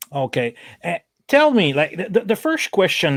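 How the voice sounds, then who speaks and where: A man in a French Canadian accent at a moderate pace, with a dry, close sound and no echo. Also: very clean recording, silent background. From Canada. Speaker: podcast host, donut truck owner. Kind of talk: interview. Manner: halting.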